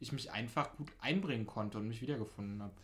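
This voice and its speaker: This man's voice is somewhat breathy, moving at a fairly quick pace with ordinary pitch variation. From Berlin (Pankow). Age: 20s. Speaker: podcast host, local politician, DJ. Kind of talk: casual interview chat. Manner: fast.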